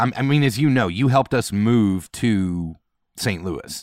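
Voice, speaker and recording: A man with an American accent at a fairly slow pace, very wide pitch swings, dry close sound with no echo, and a very clean recording against a silent background. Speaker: worship leader and guest. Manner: animated, storytelling.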